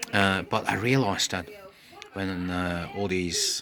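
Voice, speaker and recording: A man's very deep, low voice at a very slow pace, amid noticeable background noise. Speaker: podcaster. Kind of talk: casual monologue. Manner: halting, many fillers.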